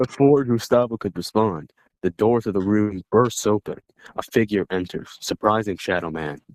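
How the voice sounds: A natural reading voice is heard. Its pitch variation is ordinary, and the background is quiet.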